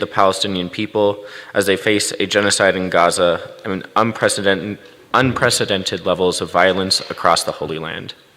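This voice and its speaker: A man is speaking at a fairly quick speed. Noticeable noise can be heard behind his voice. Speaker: activist organizer. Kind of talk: speech at interfaith service. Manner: fast.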